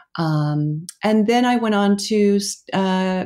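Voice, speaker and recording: Against a silent background in a very clean recording, the voice has a dark, mellow tone and an American accent. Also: woman. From Oklahoma. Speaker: school co-founder, educator. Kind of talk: interview.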